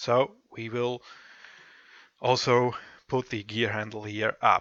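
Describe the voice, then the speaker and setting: Very slowly and in a monotone, flat delivery, a man at a medium pitch speaks with a bright, sharp tone. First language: German. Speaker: software tutorial presenter. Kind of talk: tutorial. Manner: halting, many fillers.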